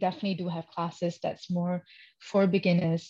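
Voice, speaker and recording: A woman talks at a medium pitch, somewhat breathy. The background is quiet. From Malaysia. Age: 30s. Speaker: professional dancer and dance teacher. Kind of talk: interview. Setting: podcast recording.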